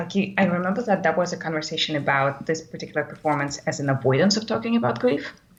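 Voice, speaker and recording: Against noticeable background noise, a woman with a fairly low pitch talks at a very fast pace with lively intonation. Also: hardly any pauses. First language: not English. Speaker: course participant. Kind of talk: live webcast discussion. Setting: live webcast. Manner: halting, many fillers.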